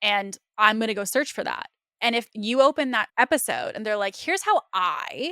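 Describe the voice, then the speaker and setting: Bright and sharp in tone, this animated voice carries lively intonation over a dry, close sound with no echo. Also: woman, fairly high pitch for a woman. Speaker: podcast host. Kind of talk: interview podcast conversation. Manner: fast.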